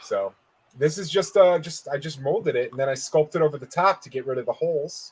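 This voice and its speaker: An ordinary speaking voice from a man, fairly quick and fairly high in pitch, with ordinary pitch variation and big swings in loudness. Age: 40s. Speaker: podcast co-host, toy collector. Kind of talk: casual chat.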